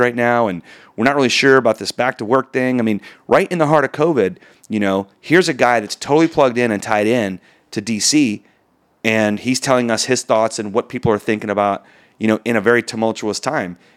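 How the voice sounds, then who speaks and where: In a very clean recording with a silent background and a dry, close sound with no echo, a man with a plain, everyday voice speaks at a fairly quick pace, at medium pitch with ordinary pitch variation. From Texas. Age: 40s. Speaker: mortgage executive. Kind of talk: casual interview chat.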